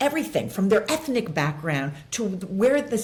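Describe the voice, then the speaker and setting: A woman talks with an American accent and an animated tone. Her voice is somewhat breathy, with very wide pitch swings. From Los Angeles. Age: 60s. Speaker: actress and author. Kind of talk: podcast interview.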